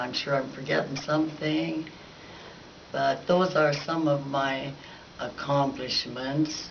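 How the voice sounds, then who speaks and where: A woman with an American accent, audible room echo and noticeable background noise. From Baker, Montana (eastern Montana, US). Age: 80s+. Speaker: local resident giving oral history. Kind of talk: oral history recollection. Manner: halting, with hesitations.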